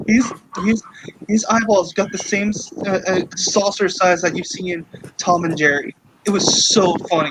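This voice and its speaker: Over noticeable background noise, a man speaks at a moderate pace and a high pitch with fairly even intonation. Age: 30s. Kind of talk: casual chat. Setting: live stream.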